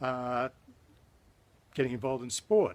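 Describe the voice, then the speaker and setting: A man at medium pitch and moderate pace, with an Australian accent. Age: 60s. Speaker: fitness enthusiast. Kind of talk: tutorial. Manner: casual, hesitant with fillers.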